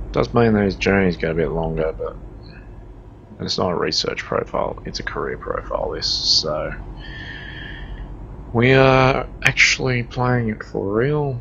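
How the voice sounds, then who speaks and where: A man with an Australian accent speaks at a fairly slow pace with long, frequent pauses over noticeable background noise. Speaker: gaming streamer. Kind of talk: gameplay commentary. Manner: casual, conversational.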